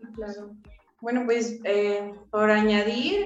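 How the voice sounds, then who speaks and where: A woman with a fairly high pitch uses a normal speaking voice with fairly even intonation. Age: 20s. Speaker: lawyer and activist. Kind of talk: casual chat.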